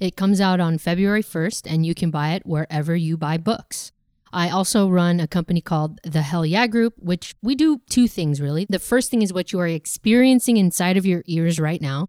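A woman with a fairly low pitch and a dark, mellow tone talks at a moderate pace with hardly any pauses, in a dry, close sound with no echo. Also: ordinary pitch variation, very clean recording, silent background. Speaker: bookkeeping company founder and finance author. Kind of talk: finance Q&A advice segment.

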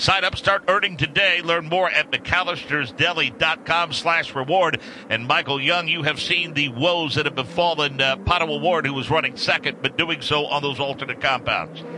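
A man speaks at a moderate pace in a fairly high pitch, with ordinary pitch variation. Noticeable background noise is present. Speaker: radio play-by-play announcer. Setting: radio broadcast from track.

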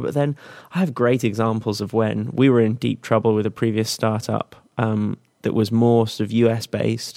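On a very clean recording with a silent background, a man with an English accent speaks at a moderate pace in a dark, mellow tone with fairly even intonation. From England. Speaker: tech startup product head. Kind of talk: interview.

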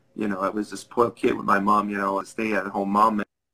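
A man's fairly low, monotone voice with flat intonation and a bright, sharp tone. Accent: French Canadian. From Quebec. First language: French. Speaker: business executive. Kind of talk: interview. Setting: video call.

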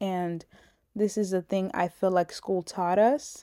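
A dark, mellow tone at a fairly slow pace, dry and close with no echo. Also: woman. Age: 20s. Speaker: podcast host. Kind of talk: casual monologue.

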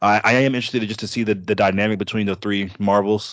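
Moving at a fairly quick pace, a man speaks in a normal speaking voice, fairly low in pitch with ordinary pitch variation. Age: 20s. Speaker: podcast guest, film fan. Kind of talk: casual chat.

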